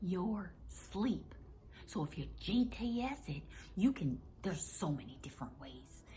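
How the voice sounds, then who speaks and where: A soft-spoken woman whispers at a very slow pace with a Southern US accent. Room echo is audible around her voice. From US South. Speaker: wellness comedy vlogger. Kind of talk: casual monologue to camera. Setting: at home. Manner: whispering, soft.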